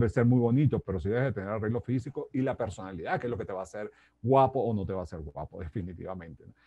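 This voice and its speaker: Dark, mellow tone in a dry sound with no echo. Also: man. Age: 60s. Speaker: life coach and speaker; life coach, speaker. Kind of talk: interview. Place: home room. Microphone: earbuds.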